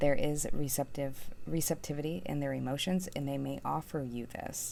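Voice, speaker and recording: A woman speaks softly, mumbling her words. Her pace is moderate. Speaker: tarot reader. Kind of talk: tarot reading. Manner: soft-spoken.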